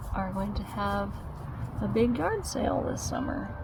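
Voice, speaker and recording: Over noticeable background noise, a soft-spoken woman talks very slowly in a relaxed, gentle tone. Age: 40s. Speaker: YouTuber. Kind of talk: casual talk to camera, ASMR-style vlog. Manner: soft-spoken, relaxed, gentle.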